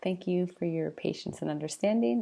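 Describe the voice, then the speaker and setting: A woman speaks in a soft-spoken way. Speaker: teacher. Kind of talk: tutorial. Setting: home at night.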